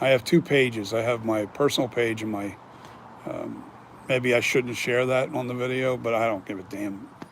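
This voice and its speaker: At a moderate pace, a man with a medium pitch speaks in an American accent. His intonation is fairly even, and there is noticeable background noise. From Philadelphia region, US. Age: 60s. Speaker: mask maker. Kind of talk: casual chat. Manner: casual, with many fillers.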